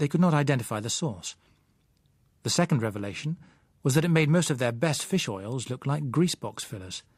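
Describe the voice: On a very clean recording with a silent background, a man talks at a fairly quick pace, his slightly mellow tone carried by lively intonation.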